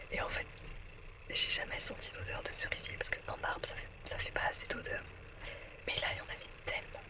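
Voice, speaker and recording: A woman whispers at a fairly quick pace, leaving long, frequent pauses, with audible room echo and noticeable background noise. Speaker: travel vlogger. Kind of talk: casual vlog. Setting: capsule hotel room. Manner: hesitant, many fillers; whispering.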